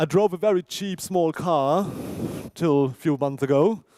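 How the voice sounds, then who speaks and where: Speaking at a fairly slow pace, this man has a fairly high pitch, lively intonation and a dark, mellow tone, recorded with a dry, close sound and no echo. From Germany, near Darmstadt (Hesse). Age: 40s. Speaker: university orientation presenter. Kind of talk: presentation to students.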